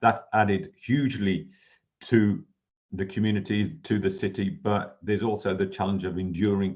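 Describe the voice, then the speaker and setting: Speaking with a Birmingham accent, a man keeps a moderate pace, a fairly low pitch and fairly even intonation. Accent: Brummie. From Birmingham, England. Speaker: university professor. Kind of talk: conversational interview. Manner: halting, repeats words.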